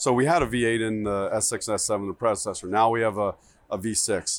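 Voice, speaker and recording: A man speaks with an unremarkable speaking voice. His pitch is medium, with ordinary pitch variation. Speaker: car company product planner. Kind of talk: guided product tour interview. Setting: auto show floor.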